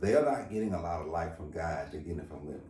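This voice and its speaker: Over noticeable background noise and audible room echo, a man speaks with a very deep, low pitch and ordinary pitch variation. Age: 50s. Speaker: pastor and talk show host. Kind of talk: casual interview conversation.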